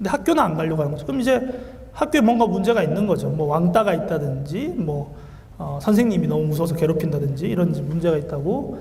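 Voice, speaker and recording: A fairly high-pitched man at a very fast pace, lively intonation, noticeable background noise and audible room echo. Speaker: Korean medicine doctor. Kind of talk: lecture.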